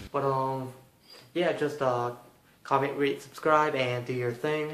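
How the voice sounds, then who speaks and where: Fairly slow speech in a monotone, flat intonation with audible room echo. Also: man, fairly high pitch for a man. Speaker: card game commentator, channel host. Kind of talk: channel sign-off. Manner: hesitant, many fillers.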